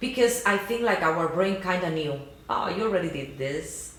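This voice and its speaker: Over noticeable background noise and audible room echo, a woman speaks fairly slowly at a medium pitch with lively intonation. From Cuba. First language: Spanish. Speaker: YouTube channel co-host. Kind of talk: casual chat.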